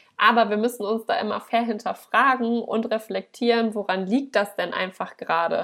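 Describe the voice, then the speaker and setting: Hardly pausing at all, a plain, everyday voice keeps a moderate speed and shows ordinary pitch variation. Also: woman, fairly high pitch for a woman. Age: 30s. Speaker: dog trainer in training, guest podcast host. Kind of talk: solo podcast talk. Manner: casual, conversational.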